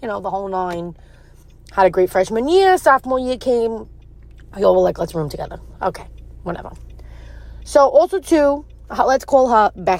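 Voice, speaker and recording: This woman has a strong New York accent and speaks at a moderate pace. She leaves long, frequent pauses. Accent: thick New York. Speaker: listener sharing a story. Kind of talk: personal story in audio message. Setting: recorded audio message.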